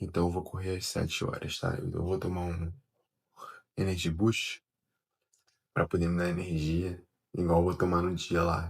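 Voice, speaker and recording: A soft-spoken man talks in a very deep, low pitch with monotone, flat intonation. His voice is somewhat breathy. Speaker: amateur runner vlogger. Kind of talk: casual vlog monologue. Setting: at home, early morning. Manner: soft-spoken, speaking quietly.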